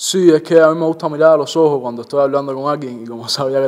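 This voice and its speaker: A man talks at a fairly quick pace. His pitch is fairly high and his intonation fairly even. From Cuba, Santa Clara; Cuba. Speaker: reggaeton singer and songwriter; interviewee. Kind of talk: interview. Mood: relaxed, friendly. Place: home room.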